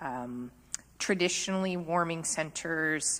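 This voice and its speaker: On a very clean recording with a silent background, a woman speaks with an ordinary speaking voice. Her pitch is fairly low and her pace fairly slow. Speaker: municipal official. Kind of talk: council meeting answer.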